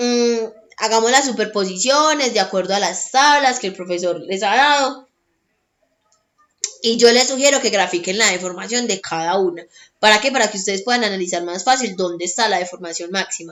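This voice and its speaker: A woman's fairly high voice at a fairly quick pace. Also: ordinary pitch variation. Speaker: tutor. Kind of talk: tutorial. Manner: fast.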